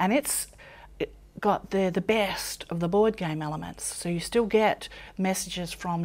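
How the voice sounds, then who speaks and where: With an Australian accent, a woman speaks at a moderate pace in a fairly low voice with fairly even intonation. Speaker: author and personal development teacher. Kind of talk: interview monologue.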